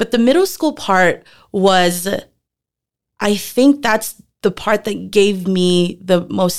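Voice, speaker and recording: At a fairly slow pace, a woman talks at medium pitch in an ordinary speaking voice. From Philippines, moved to Texas at 10. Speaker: former middle school teacher. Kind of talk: casual interview.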